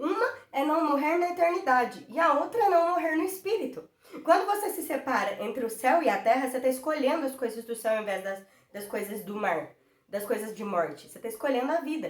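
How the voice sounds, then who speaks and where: A woman with a high pitch speaks at a fairly quick pace, her pitch swinging very widely and her loudness shifting in big swings. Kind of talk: devotional Bible teaching. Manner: fast; passionate.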